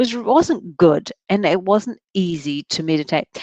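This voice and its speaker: A woman with a New Zealand accent and lively intonation, in dry, close sound with no echo. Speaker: workshop facilitator. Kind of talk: workshop talk. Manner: halting.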